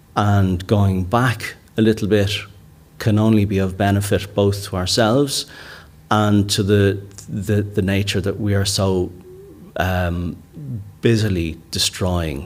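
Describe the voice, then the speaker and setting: Speaking with a Dublin accent, a man keeps his fairly low-pitched voice at a fairly even intonation. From Ireland, Dublin (Kilmainham, Inchicore). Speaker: rewilder and author, conference keynote speaker. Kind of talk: keynote talk. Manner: halting, many repetitions and fillers.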